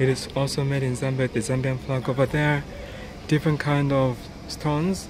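The pace is moderate, and there is noticeable noise in the background. The sound is dry, with no echo. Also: man. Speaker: vlogger. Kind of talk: casual vlog chat. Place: shop. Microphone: phone near.

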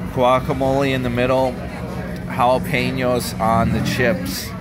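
A man talks at a very slow pace. Noticeable background noise runs behind him. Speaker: travel vlogger. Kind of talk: casual vlog chat. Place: cafe. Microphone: phone near.

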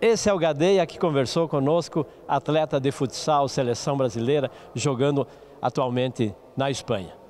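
Against light background noise, a man talks at a moderate pace and a fairly high pitch with ordinary pitch variation. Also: dry sound with no echo. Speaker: TV sports show host. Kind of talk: TV interview. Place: hall. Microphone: handheld.

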